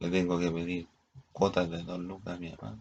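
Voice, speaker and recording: This is a man speaking with a very deep, low pitch. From Chile. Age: 40s. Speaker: vlogger. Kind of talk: casual monologue. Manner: halting.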